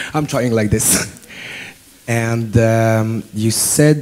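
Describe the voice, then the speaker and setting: Against noticeable background noise, a man speaks in a French accent at a medium pitch with ordinary pitch variation. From France. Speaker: student asking a question. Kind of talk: audience question at symposium. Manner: halting.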